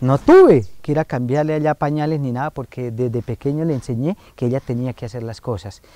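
The sound is dry with no echo. A man speaks at a fairly quick pace with hardly any pauses and ordinary pitch variation. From Colombia, Valle de San José (Santander); Santander, Colombia. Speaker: foundation director, family counselor. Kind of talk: interview on community TV. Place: garden.

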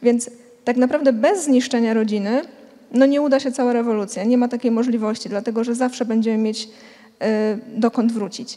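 Against a quiet background, a woman with a Polish accent talks at a fairly quick pace in a high pitch with fairly even intonation. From Poland. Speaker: family center panelist. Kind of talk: panel debate. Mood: earnest, concerned. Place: hall. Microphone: handheld.

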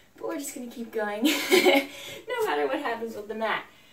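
A woman speaks at a fairly quick pace in a high pitch. There is audible room echo and light background noise. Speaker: fitness instructor. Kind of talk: workout instruction. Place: home room. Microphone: camera far.

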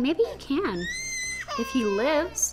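A put-on character voice moves at a slow pace with big pitch swings. The tone is slightly mellow, over faint background noise. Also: woman, high pitch for a woman.

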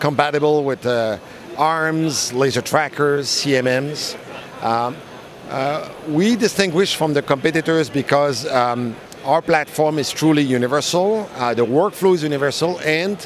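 A man's fairly slow speech with ordinary pitch variation, dry with no echo, over light background noise. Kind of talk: interview answer. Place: hall. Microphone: handheld.

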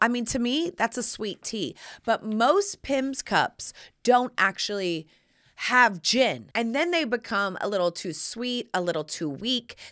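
A woman with an American accent speaks in an animated tone at a fairly high pitch, with very wide pitch swings. She talks at a fairly slow pace over a quiet background. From US South. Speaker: podcast host and lifestyle advice personality; podcast host. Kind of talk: casual chat. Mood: playful, cheeky humor. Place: studio. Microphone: studio mic.

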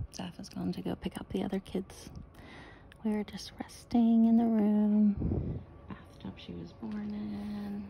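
The speech moves at a very slow pace. Light background noise runs underneath. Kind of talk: casual vlog chat. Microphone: phone near.

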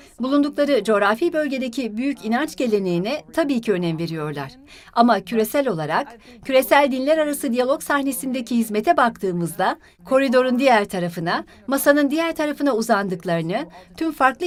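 A woman speaks at a fairly quick clip in a high voice, her pitch swinging very widely. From Los Angeles, US. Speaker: religious studies lecturer and doctoral candidate. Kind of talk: interview testimony.

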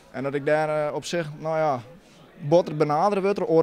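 Light background noise sits behind a man with a fairly high pitch and fairly even intonation. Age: 20s. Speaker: amateur footballer. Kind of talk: post-match interview. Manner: halting. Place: stadium. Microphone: handheld.

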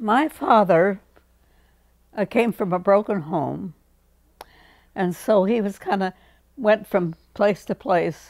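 In a dry, close sound with no echo, a woman speaks at a very slow pace with long, frequent pauses. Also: medium pitch for a woman, ordinary pitch variation, very clean recording, silent background. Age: 80s+. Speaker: centenarian interviewee. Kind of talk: interview storytelling. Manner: articulate.

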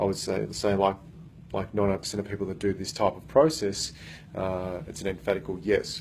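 A man speaks somewhat breathily at a fairly low pitch. His pace is moderate, with light background noise. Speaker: workplace coach. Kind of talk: motivational talk to camera. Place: meeting room. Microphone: phone near.

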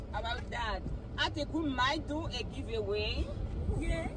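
A woman speaks at a moderate pace in a dry, echo-free sound, with crowd noise behind her. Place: car. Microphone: phone near.

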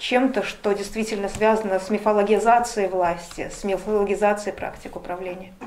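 The intonation of this woman is monotone, flat. Light background noise sits behind her. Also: moderate pace, hardly any pauses. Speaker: interviewer. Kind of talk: interview. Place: cafe.

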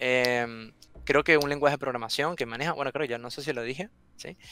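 A man's very fast, bright, sharp delivery with big swings in loudness, dry with no echo. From Venezuela. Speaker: software testing content creator. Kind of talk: interview. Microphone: headset.

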